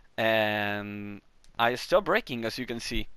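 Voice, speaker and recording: On a very clean recording with a silent background, a man with a Chilean accent speaks at medium pitch in a bright, sharp tone. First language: Spanish. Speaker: gaming video creator. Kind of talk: tutorial. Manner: halting.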